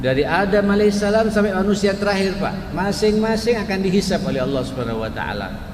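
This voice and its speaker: A man speaks at a high pitch and a fairly quick pace. Audible room echo and noticeable background noise fill the recording. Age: 60s. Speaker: Islamic preacher. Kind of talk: religious lecture. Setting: mosque with live audience.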